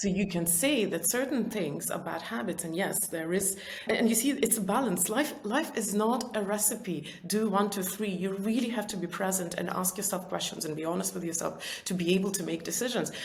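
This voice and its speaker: Fairly quick, nearly pause-free speech in a non-native accent, with ordinary pitch variation, audible room echo and noticeable background noise. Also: woman, medium pitch for a woman. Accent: non-native, described as weird. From Soviet Union. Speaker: entrepreneur and author. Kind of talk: interview. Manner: talkative.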